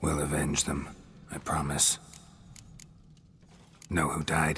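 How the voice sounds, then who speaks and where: Using a put-on character voice, a man speaks fairly slowly with a very deep, low pitch. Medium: machinima. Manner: terse, flat.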